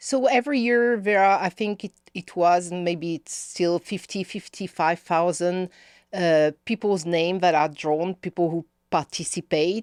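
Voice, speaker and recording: On a very clean recording with a silent background and a dry, close sound with no echo, a woman with a strong French accent speaks fairly slowly at a fairly low pitch with ordinary pitch variation. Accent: thick French. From France, Paris. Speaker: policy campaign director. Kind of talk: podcast interview. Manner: halting, many fillers.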